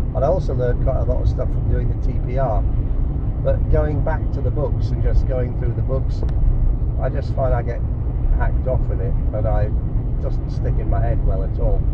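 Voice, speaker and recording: A man with long, frequent pauses over loud background noise. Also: moderate pace. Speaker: language learner. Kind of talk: casual chat. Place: car. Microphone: phone near.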